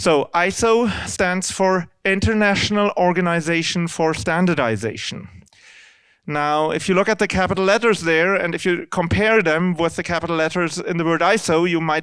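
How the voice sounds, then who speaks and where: In a German accent, a man speaks at a moderate pace in a high voice with ordinary pitch variation and very even loudness, on a very clean recording with a silent background. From Germany. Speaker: C++ standards committee member. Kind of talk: lecture. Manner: halting.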